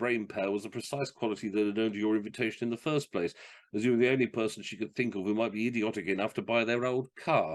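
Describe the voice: The pitch stays fairly even throughout. It is plain reading aloud.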